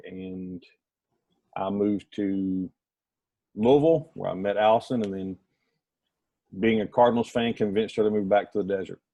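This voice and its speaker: Using a Southern US accent, a man at a fairly low pitch speaks at a moderate pace with fairly even intonation and long, frequent pauses. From US South, rural North Alabama. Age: 30s. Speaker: adoptive father. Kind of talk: casual group discussion.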